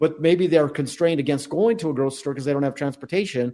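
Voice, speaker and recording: Speaking with an American accent, a man has a fairly high pitch and a dark, mellow tone. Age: 60s. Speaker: podcast co-host. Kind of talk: casual chat.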